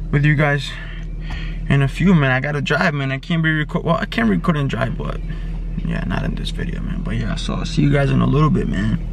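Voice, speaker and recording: A man at a very fast pace, dry with no echo, amid noticeable background noise. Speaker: fitness vlogger. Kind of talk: casual vlog chat.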